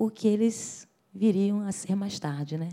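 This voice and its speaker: This woman speaks at a fairly slow pace in a northeastern Brazilian accent. Her tone is dark and mellow, and somewhat breathy. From Brazil, Rio de Janeiro. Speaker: singer. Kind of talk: interview. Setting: at home.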